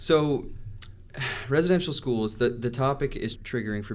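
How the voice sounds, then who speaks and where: Fairly quick in pace, a man speaks in a normal speaking voice. His pitch varies in an ordinary way. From Atlantic Canada, Mi'kmaq First Nation. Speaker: podcast host, communications officer. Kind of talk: interview.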